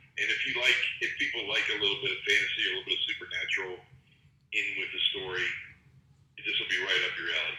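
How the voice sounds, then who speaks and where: The speech moves at a fairly quick pace, with audible echo from the room. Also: man. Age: 60s. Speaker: podcast co-host. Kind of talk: casual chat.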